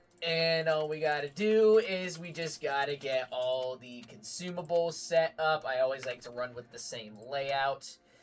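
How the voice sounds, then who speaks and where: Over music in the background, the speaker talks at a fairly slow pace in an animated tone. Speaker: gaming streamer. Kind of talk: live gameplay stream. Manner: casual, animated; loud.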